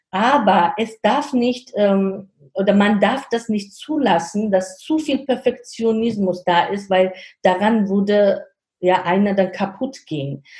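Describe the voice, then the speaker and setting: In a Georgian accent, a somewhat breathy voice speaks at a very slow pace with ordinary pitch variation. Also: woman, medium pitch for a woman. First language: Georgian (speaking German). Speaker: startup consultant and guest lecturer. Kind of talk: interview. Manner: halting.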